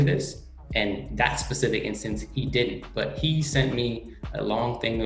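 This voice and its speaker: Over music playing in the background, someone with an American accent talks in a room with audible echo. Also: man. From California, Oakland. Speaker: sports team content creator. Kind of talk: podcast interview. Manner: animated.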